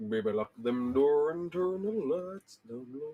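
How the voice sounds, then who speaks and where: A put-on character voice at a fairly slow pace, pitched low-to-middle. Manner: smooth, seductive.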